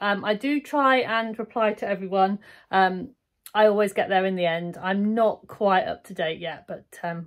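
The background stays quiet. A woman talks at a moderate pace. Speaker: sewing vlogger. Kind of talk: casual vlog chat. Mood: warm and friendly. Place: home room. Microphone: phone near.

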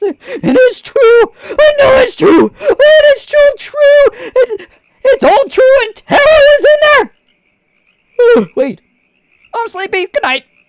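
Extremely high in pitch, the voice moves at a fairly slow pace with long, frequent pauses. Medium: machinima. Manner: erratic, rambling, odd.

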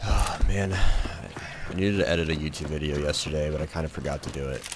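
A man talks in a very deep, low pitch. Noticeable background noise sits behind him. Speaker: gaming streamer. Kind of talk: live gameplay commentary. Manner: quiet normally, gets loud when excited; animated.

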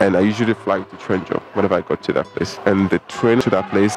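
A man speaks with ordinary pitch variation in a dry sound with no echo, music playing in the background. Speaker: travel vlogger. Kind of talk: casual vlog chat. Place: station. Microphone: handheld.

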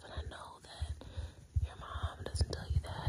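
Whispering at a very slow pace, a woman speaks. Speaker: comfort roleplay host. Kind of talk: soft personal-attention roleplay talk. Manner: soft, intimate, hushed talk. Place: home room. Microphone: phone near.

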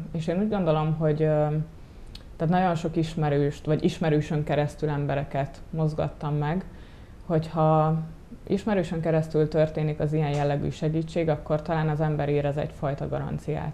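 A woman speaks at a moderate pace in a very deep, low voice with a dark, mellow tone and monotone, flat intonation. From Hungary, Gyöngyös; Hungary. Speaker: volunteer photographer; interview guest. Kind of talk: TV interview. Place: studio. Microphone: lapel.

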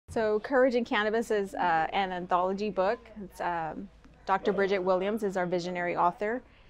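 A woman with an American accent talks at a fairly quick pace with ordinary pitch variation over light background noise. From Texas, Corpus Christi. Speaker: author and cannabis patient. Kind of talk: interview testimony. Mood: earnest, personal testimony. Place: hall.

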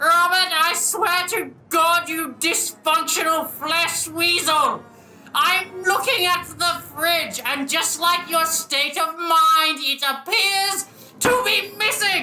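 An extremely high-pitched cartoonish character voice at a very slow pace. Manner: yelling, insulting, exasperated.

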